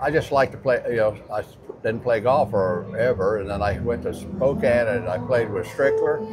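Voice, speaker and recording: Noticeable background noise runs under the recording. A man talks with hardly any pauses. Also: moderate pace. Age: 80s+. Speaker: retired drag racer. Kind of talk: casual interview. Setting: car show.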